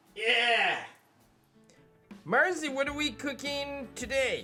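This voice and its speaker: Over faint music in the background, a cartoonish character voice with a high pitch speaks at a very slow pace. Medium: puppet.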